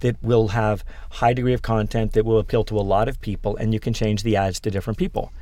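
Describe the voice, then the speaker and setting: The man's medium-pitched voice races along very fast, his intonation fairly even. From western Pennsylvania. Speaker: tech company founder and CEO. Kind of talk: interview.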